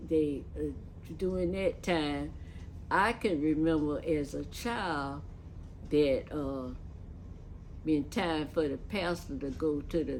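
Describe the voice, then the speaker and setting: A woman with a very deep, low pitch and vocal fry speaks at a very slow pace with long, frequent pauses and ordinary pitch variation, in audible room echo. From Lakeland, Florida. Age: 80s+. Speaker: church elder. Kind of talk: oral history interview. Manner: halting.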